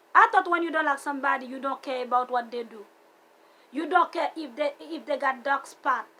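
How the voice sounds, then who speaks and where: A woman speaks at a fairly quick pace in a raised, projected voice, high-pitched, animated and bright with a sharp tone, with a non-native accent. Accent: foreign. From outside the US, came at seventeen. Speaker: vlogger. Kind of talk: personal vlog rant. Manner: animated, repetitive.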